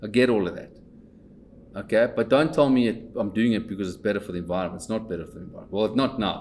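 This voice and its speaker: Speaking at a very fast pace, a man has a fairly low pitch. His loudness shows big swings. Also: ordinary pitch variation. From South Africa, Pretoria. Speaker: company owner and investor. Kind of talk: casual chat. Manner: animated; repetitive stammering restarts.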